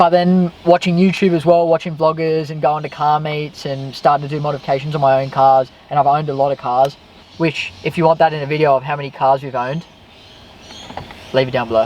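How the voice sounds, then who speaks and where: Very fast and with fairly even intonation, a man in an Australian accent speaks at a fairly high pitch. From Western Sydney, Australia. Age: 20s. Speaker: YouTuber, car vlogger, electrician. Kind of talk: casual chat.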